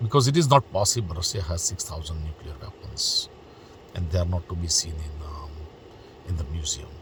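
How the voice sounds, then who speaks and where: Noticeable background noise accompanies this man. He speaks with a non-native accent at a very deep, low pitch. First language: not English. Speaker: political commentary vlogger. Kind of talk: opinion monologue. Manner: hesitant, many fillers.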